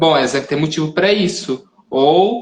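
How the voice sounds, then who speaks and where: This is a man speaking. His pitch is fairly high. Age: young. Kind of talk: interview on live stream. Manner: soft-spoken; halting.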